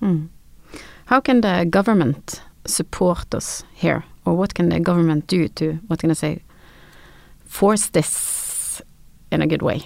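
A woman with a Norwegian accent speaks at a fairly low pitch with ordinary pitch variation. Her pace is fairly slow, with long, frequent pauses. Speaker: podcast host. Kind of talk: interview. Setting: studio.

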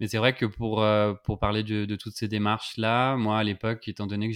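This is a man speaking at a fairly low pitch. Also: dry, close sound with no echo. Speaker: podcast host. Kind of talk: interview conversation. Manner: hesitant, many fillers.

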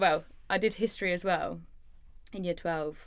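A woman's medium-pitched voice with an English accent. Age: 20s. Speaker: art teacher and small business owner. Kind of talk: casual chat.

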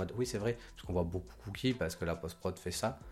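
A man's very deep, low voice, somewhat breathy. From Côte d'Ivoire. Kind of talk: casual chat.

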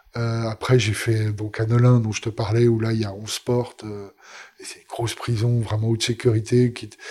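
Somewhat breathy, a man talks with monotone, flat intonation while his loudness swings widely. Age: 50s. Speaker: meditation teacher. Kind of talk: interview. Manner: halting.

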